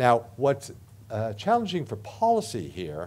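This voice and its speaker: Here a man talks with an American accent. His tone is dark and mellow, and his pace is moderate. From United States. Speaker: professor; lecturer. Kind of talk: lecture. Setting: stage with audience. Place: hall.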